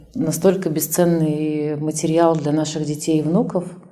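With noticeable background noise and audible room echo, a woman speaks at a moderate pace in a very deep, low pitch. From Kazan, Russia (Tatarstan). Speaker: event organizer. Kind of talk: interview conversation.

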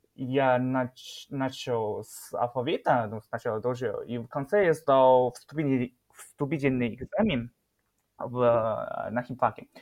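Speaking very slowly, a man with a Chinese accent uses a medium pitch and ordinary pitch variation. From northeast China, Shenyang. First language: Chinese (speaking Russian). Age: 20s. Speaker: chemistry PhD student, Chinese teacher. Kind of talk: interview. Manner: halting.

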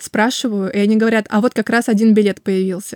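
Fairly quick and fairly high in pitch, a woman speaks in a plain, everyday voice. Her intonation is fairly even, and the sound is dry and close with no echo. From Russia, Kaliningrad. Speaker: artist and illustrator. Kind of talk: casual interview.

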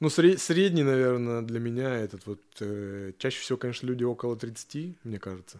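In a very clean recording with a silent background, a man of medium pitch talks at a moderate pace with lively intonation in a normal speaking voice. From Yaroslavl region, Russia. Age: 30s. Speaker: tattoo artist. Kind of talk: casual chat. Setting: tattoo studio.

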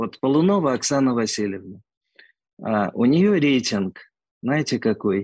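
A man speaks at a medium pitch with very wide pitch swings. The background is quiet. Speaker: orthodontic clinic director. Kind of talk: interview. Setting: remote call.

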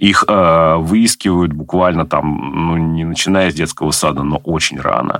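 Over noticeable background noise, a man with a very deep, low pitch speaks with fairly even intonation and hardly any pauses. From Nizhny Novgorod, Russia. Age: 40s. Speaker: government IT adviser. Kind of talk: interview. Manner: hesitant with filler sounds.

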